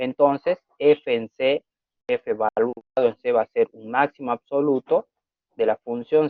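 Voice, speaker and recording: Very slow male speech at a medium pitch, with ordinary variation in pitch. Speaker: math teacher. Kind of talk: lecture. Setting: video call.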